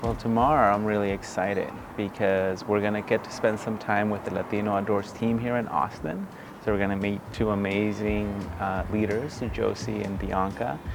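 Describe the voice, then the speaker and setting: Recorded with audible room echo and noticeable background noise, a man speaks at a moderate pace and fairly low pitch, his intonation fairly even. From California, Central Valley (born in Mexico, moved at 8). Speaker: outdoor nonprofit founder and educator. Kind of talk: interview; casual chat.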